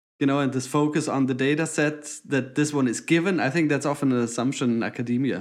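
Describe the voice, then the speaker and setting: Against a quiet background, a man talks at a very fast pace with hardly any pauses, his fairly high pitch held in fairly even intonation and his loudness very even. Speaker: podcast co-host, data visualization designer. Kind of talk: casual chat.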